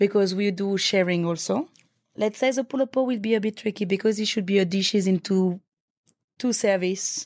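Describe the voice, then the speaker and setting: This is a very clean recording with a silent background. A woman with a French accent speaks at a medium pitch with fairly even intonation. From France, Paris. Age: young. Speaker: chef. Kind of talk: interview.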